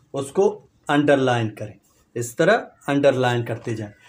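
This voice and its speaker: A man's intonation is lively even as he speaks at a very slow pace. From Balochistan, Pakistan. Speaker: YouTuber. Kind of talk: educational vlog. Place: home room. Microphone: lapel.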